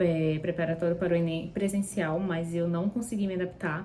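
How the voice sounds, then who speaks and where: Her voice is somewhat breathy, with a dark, mellow tone. The woman speaks with a fairly low pitch and fairly even intonation. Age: 20s. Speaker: university student. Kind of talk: vlog sharing study tips. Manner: casual, with filler words.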